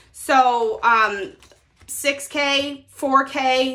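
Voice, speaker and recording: A raised, projected voice comes through over light background noise. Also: woman. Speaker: budgeting creator. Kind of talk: casual vlog chat. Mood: upbeat, friendly. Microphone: phone near.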